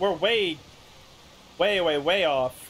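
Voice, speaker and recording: A high-pitched man talks at a very slow pace with lively intonation. Noticeable background noise sits under his voice. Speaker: gaming streamer. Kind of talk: live gameplay commentary. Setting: home stream setup.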